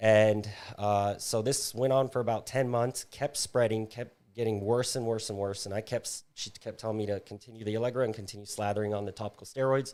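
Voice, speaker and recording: A man with an American accent has a normal speaking voice, fairly low pitch, fairly even intonation and a moderate pace. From US South, Florida panhandle. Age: 30s. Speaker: podcast guest. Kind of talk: testimony.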